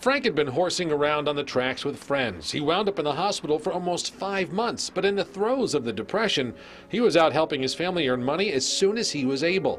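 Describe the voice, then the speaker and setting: Using a normal speaking voice, a man talks at a fairly quick pace with hardly any pauses, fairly high pitch, and lively intonation. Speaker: TV news reporter. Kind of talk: TV news report narration.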